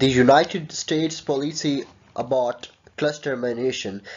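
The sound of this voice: Man's medium-pitched voice with a slightly husky edge, fairly even intonation and a fairly slow pace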